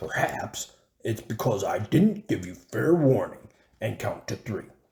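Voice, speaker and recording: Using a put-on character voice, a man talks at a fairly slow pace. His pitch stays medium. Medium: read story. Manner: roaring, blustering.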